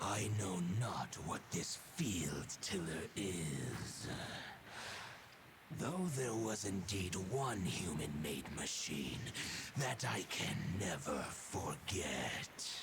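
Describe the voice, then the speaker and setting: Through loud background noise, a man puts on a character voice with a very deep, low pitch and a very slow pace. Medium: game stream. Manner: formal, archaic, dignified.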